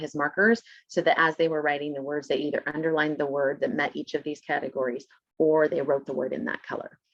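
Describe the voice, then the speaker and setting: A woman talks at a very fast pace. Her pitch is very deep and low, with ordinary variation. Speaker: special education teacher presenting a webinar. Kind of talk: webinar presentation. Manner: casual, with frequent fillers.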